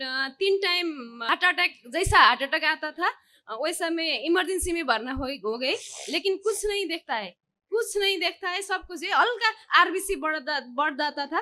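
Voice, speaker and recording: Raised and projected, a woman with a Nepali accent talks at an extremely high pitch in a bright, sharp tone with lively intonation. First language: Nepali (speaking Hindi). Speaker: devotee. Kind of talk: testimony. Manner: halting.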